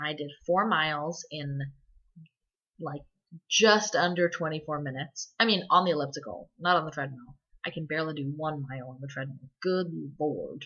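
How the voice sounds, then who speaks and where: A woman with a very deep, low pitch speaks at a moderate pace with ordinary pitch variation and big swings in loudness. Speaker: video blogger. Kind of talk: casual video diary.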